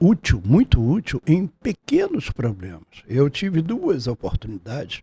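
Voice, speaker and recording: A man's somewhat breathy, dark, mellow voice at a very slow pace, with very wide pitch swings, in a dry, close sound with no echo. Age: 70s. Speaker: taxi driver. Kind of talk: testimony. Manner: formal.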